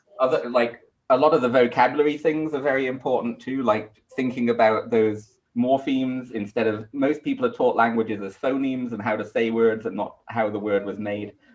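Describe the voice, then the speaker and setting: This man has a British accent. He talks at a fairly quick pace. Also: medium pitch for a man, fairly even intonation. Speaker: astronomy lecturer. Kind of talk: panel discussion.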